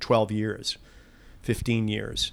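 This man's pitch sits fairly low. He has an ordinary speaking voice and keeps a moderate pace. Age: 60s. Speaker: lobbyist. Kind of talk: interview.

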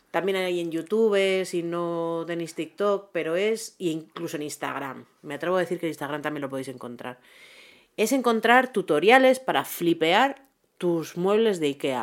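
Her husky, fairly low-pitched voice has lively intonation, heard on a very clean recording with a silent background. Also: fairly slow pace. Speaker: podcast co-host. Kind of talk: casual chat.

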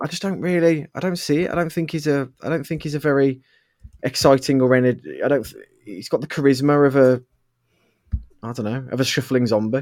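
A man with a British accent, medium pitch and ordinary pitch variation. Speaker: podcast host. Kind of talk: casual chat.

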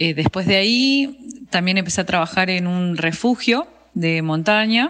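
A woman's fairly slow speech at medium pitch, with lively intonation. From Argentina, Bariloche (Patagonia). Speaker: mountain guide and ski instructor. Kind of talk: interview. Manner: hesitant, many fillers.

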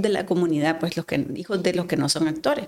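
Her pitch sits at a medium level and varies in an ordinary way as a woman speaks. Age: 40s. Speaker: gynecologist and fertility specialist. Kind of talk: casual interview conversation. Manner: hesitant, many fillers.

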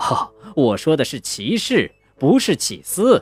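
Someone does plain reading aloud.

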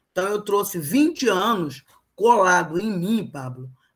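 A woman with a Carioca accent and ordinary pitch variation. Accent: carioca Brazilian Portuguese. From Rio de Janeiro, Brazil. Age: 50s. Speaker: human rights activist. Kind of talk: interview.

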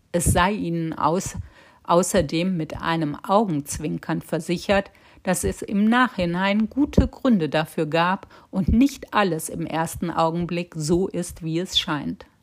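A woman's fairly low voice with a French accent, at a very slow pace with ordinary pitch variation. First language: French (speaking German). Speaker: podcast host. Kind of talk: scripted narration.

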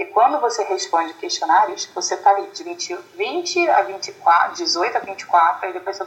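A woman with a high pitch talks at a fairly slow pace, her pitch swinging very widely. She hardly pauses, and noticeable background noise is present. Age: 30s. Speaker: author. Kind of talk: interview. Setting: video call.

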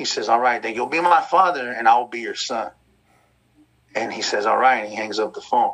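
Big swings in loudness mark this man's speech. He talks at a fairly quick pace. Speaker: former gang member, case management director. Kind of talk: personal testimony. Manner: gentle.

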